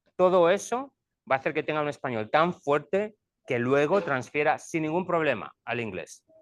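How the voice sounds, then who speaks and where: Someone speaks with a Spanish accent at a moderate pace. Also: man, fairly high pitch for a man, lively intonation. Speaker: school administrator, former teacher. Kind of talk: presentation to parents.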